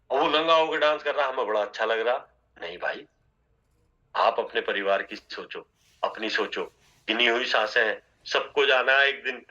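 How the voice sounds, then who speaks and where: A man's bright, sharp voice, fairly high in pitch, with ordinary pitch variation. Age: 60s. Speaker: network marketing trainer. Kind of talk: motivational training talk.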